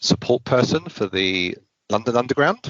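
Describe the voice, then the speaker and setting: A man talks with a British accent. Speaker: IT consultant and trainer. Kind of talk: interview.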